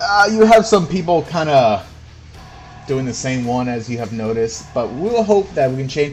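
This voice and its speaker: A man with a fairly high voice talks at a moderate pace over background music, his pitch swinging very widely and his loudness rising and falling in big swings. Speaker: gaming livestreamer. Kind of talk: live gameplay stream commentary. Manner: casual, filler-heavy.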